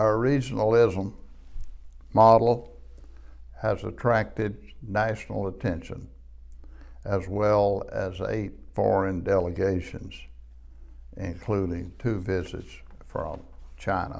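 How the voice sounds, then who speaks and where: Speaking very slowly with long, frequent pauses, a man with a fairly low pitch and an Appalachian accent keeps a fairly even intonation, with audible room echo. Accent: Appalachian Southern US. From US Appalachia, southwest Virginia (Wise County). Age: 80s+. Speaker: retired economic development director, lecturer. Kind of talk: lecture. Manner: formal.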